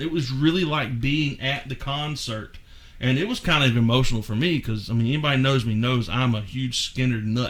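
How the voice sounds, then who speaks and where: A man talks at a fairly quick pace in a Southern US accent, with ordinary pitch variation. Audible room echo surrounds his voice. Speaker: podcast host. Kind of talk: casual chat.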